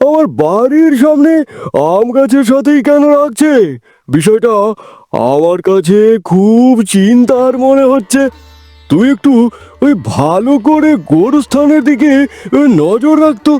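A man uses a cartoonish character voice, pitched extremely high and delivered at a fairly slow pace. Music plays in the background. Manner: bossy, familiar.

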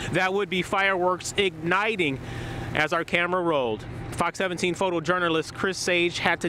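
Through noticeable background noise, a man with a high voice and serious tone speaks at a moderate pace, with fairly even intonation and very even loudness. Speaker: field news reporter. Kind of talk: live on-scene TV news report. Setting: outdoors at crash scene, windy. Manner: urgent, fluent, serious.

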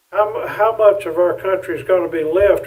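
Speech moves at a moderate pace. Audible room echo is present. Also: man. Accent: North Carolina. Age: 70s. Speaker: county commissioner. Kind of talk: public board meeting remarks. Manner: impassioned.

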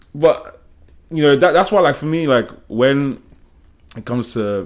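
Speaking with an English accent, a man keeps a moderate pace and ordinary pitch variation. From England, Nigerian family. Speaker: podcast guest. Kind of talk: casual chat. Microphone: earbuds.

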